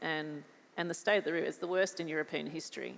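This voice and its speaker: A woman with an Australian accent speaks in a very deep, low voice with vocal fry. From Australia, New South Wales. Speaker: farmer. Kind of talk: panel discussion.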